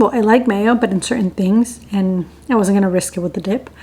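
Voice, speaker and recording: A woman speaks with ordinary pitch variation. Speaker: lifestyle vlogger. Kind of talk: casual vlog talk. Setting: at home.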